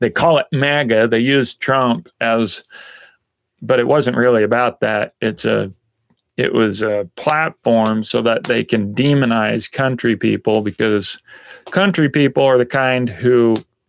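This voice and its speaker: A man with a Southern US accent speaks fairly slowly at a medium pitch, with ordinary pitch variation, very even loudness, and a dry, close sound with no echo. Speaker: outdoor lifestyle vlogger. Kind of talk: casual live stream chat. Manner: hesitant, many fillers.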